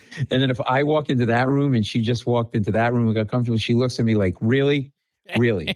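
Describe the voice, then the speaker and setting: A man's medium-pitched, animated voice at a very fast pace, with very even loudness. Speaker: comedian. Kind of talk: casual chat.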